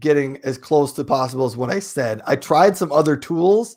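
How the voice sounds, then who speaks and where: A man with an American accent, fairly high pitch and ordinary pitch variation. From US Midwest, South Dakota. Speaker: live streaming enthusiast. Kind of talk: casual chat.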